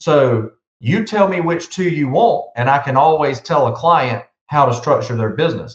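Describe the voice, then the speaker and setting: A man with a Southern US accent, his voice somewhat breathy. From South Carolina. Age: 50s. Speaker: business consultant. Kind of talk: podcast interview. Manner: animated.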